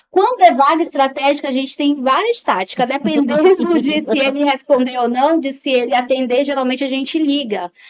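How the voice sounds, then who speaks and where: This woman's high-pitched voice keeps a moderate pace and ordinary pitch variation. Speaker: psychologist and HR recruiter. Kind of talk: podcast interview.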